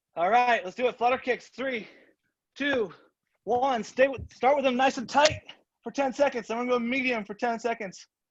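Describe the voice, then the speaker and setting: A man speaks loudly with an energetic tone at a moderate pace, his pitch extremely high. The background is quiet. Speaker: martial arts instructor. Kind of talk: live online workout class. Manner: energetic coaching commands.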